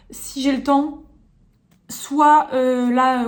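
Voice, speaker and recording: A woman's high-pitched voice, monotone and flat, with audible room echo. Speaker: lifestyle vlogger. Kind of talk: casual vlog talk to camera. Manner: fast; hesitant, many fillers.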